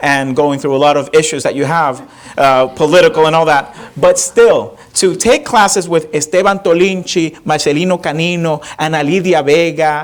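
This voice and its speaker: In a Spanish accent, a man talks in an animated tone at a moderate pace, his pitch fairly high with ordinary variation. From Puerto Rico. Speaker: professor and performer. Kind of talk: audience Q&A after one-man show. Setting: theater stage with audience.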